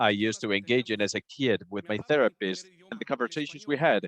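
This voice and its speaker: Speaking at a fairly quick pace, a man with a medium pitch uses lively intonation, captured with a dry, close sound and no echo. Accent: Spanish. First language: Spanish. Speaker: community speaker at public assembly. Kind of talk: public testimony speech.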